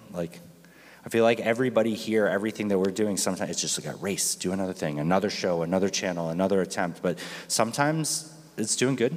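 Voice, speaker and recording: Lively intonation runs through a man's fairly low voice. He talks at a very fast pace. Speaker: panel moderator. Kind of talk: conference panel discussion. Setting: stage with audience. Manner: loud.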